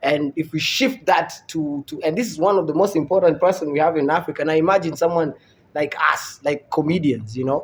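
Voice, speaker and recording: A man with an American accent speaks at a fairly quick pace. His pitch is fairly high, with ordinary variation. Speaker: comedian. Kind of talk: casual chat.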